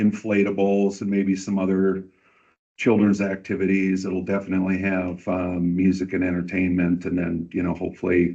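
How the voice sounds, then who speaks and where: A man talks in a very deep, low voice at a moderate pace. His intonation is monotone and flat. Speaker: community event organizer. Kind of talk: public meeting presentation. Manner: loud. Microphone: far from the mic.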